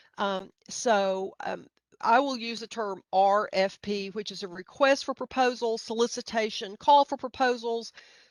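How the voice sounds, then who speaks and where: In a Middle Tennessee accent, a woman with a fairly high pitch speaks fairly slowly with ordinary pitch variation and big swings in loudness, the sound dry and close with no echo. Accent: Middle Tennessee, slight hillbilly. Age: middle-aged. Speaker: grant writing trainer. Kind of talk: webinar presentation. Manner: halting, many fillers.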